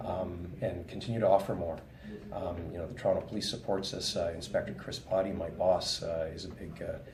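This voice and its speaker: A man with a Canadian accent talks at a fairly quick pace with big swings in loudness, amid noticeable background noise and audible room echo. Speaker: police detective. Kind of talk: interview. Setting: coffee shop.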